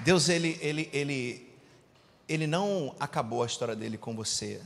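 The somewhat breathy voice moves at a moderate pace with lively intonation, in a very clean recording with a silent background. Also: man. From Rio de Janeiro, Brazil. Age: 40s. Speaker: preacher and business mentor. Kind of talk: sermon.

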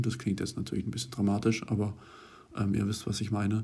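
A man talks at a fairly low pitch in a dark, mellow tone that is somewhat breathy. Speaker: university student, podcast co-host. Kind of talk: casual chat.

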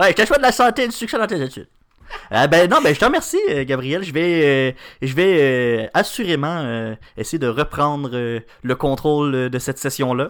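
With a Quebec accent, a man speaks at a fairly slow pace in a fairly high voice, his intonation lively. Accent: Québécois French. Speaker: news podcast co-host, student. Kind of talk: morning news chat.

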